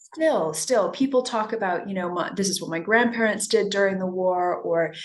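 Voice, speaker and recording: With noticeable background noise behind her, a woman speaks at a medium pitch and a moderate pace, with ordinary pitch variation. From US West Coast, Los Angeles. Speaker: novelist. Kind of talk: interview.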